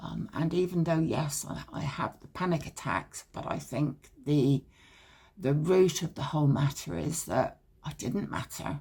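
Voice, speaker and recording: Speaking with a British accent, a woman with a very deep, low pitch and vocal fry talks at a fairly slow pace, with ordinary pitch variation and big swings in loudness. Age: 70s. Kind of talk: personal story told to camera. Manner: hesitant, reflective.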